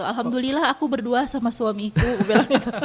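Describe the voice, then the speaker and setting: Noticeable background noise sits behind a woman's voice. She speaks at a moderate pace with ordinary pitch variation. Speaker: business owner and content creator. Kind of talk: radio interview.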